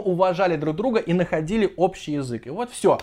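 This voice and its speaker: A man's animated, high-pitched voice with lively intonation against a quiet background. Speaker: football video blogger. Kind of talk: solo monologue video blog.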